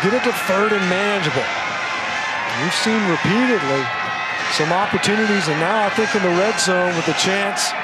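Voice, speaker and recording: Against noticeable background noise, a high-pitched man speaks in a relaxed tone at a moderate pace with very even loudness and fairly even intonation. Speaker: color analyst. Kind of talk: live sports commentary, analytical. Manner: conversational, explanatory, relaxed and knowing.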